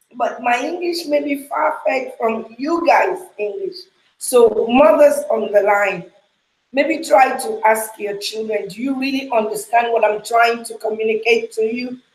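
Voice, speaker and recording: With a Nigerian accent, a woman talks fairly slowly in a high voice. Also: lively intonation. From Nigeria (Yoruba). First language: Yoruba. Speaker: ministry leader. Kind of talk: casual chat. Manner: loud.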